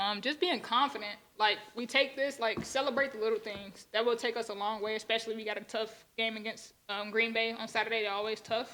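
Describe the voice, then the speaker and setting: A woman at fairly high pitch, fairly quick and with hardly any pauses, fairly even intonation, noticeable background noise behind her. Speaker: college basketball player. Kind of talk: press conference. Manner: stumbling over words.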